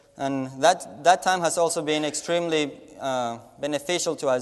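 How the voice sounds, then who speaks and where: A man is speaking. He has a Spanish accent. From Latin America. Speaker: missionary. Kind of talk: mission report presentation. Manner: halting with frequent repetitions.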